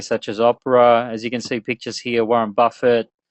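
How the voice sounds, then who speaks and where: A man with an Australian accent at a fairly quick pace, in a dry, close sound with no echo and a quiet background. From Australia, Melbourne. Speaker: webinar presenter, business and internet marketing strategist. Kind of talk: webinar presentation. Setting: online webinar.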